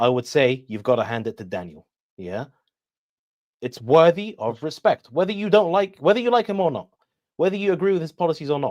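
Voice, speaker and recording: A man with a British accent, a fairly high pitch, very wide pitch swings, a fairly quick pace and a dry, close sound with no echo. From Iraqi family, raised in Britain. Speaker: military science expert. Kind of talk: interview.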